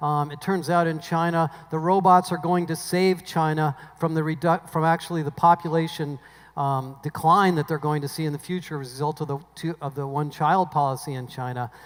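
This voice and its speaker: Intonation stays fairly even here. It is an unremarkable speaking voice. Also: man, fairly high pitch for a man. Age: 60s. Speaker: industry analyst and keynote speaker. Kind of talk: conference keynote talk. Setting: stage with audience. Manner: conversational with filler words.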